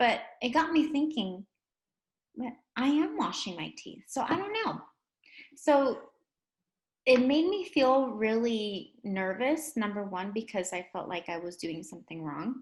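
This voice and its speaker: Her voice high-pitched, a woman with a Spanish accent takes long, frequent pauses, with big swings in loudness and very wide pitch swings. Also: fairly slow pace. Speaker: English language teacher. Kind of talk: educational lesson chat.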